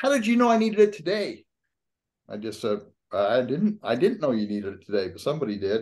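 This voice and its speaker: A man with an American accent talks at a fairly quick pace. His pitch makes very wide swings. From Utah. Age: 70s. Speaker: YouTuber. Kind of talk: casual chat.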